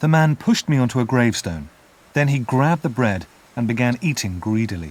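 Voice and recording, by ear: The clip is reading aloud in a natural voice. Its intonation is lively.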